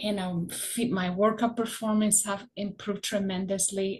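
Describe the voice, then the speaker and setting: Somewhat breathy and flat in intonation, a woman's medium-pitched voice moves at a moderate pace without melodic variation. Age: 60s. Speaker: product customer giving a testimonial. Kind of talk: testimony.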